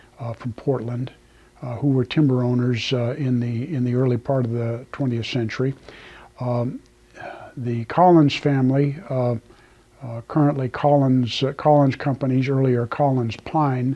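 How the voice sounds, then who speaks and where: A man speaks with a Pacific Northwest accent at a medium pitch. His intonation is monotone and flat. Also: moderate pace. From central Oregon, US. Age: 70s. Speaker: retired lumber company president. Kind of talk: oral history interview. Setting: old company office. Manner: halting, many fillers.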